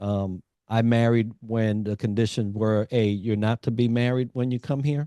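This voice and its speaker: In a quiet background, a man speaks at a moderate pace and medium pitch with a dark, mellow tone. The sound is dry and close with no echo, and his intonation is fairly even. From New York, Puerto Rican community. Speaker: executive coach, navy veteran. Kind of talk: interview conversation.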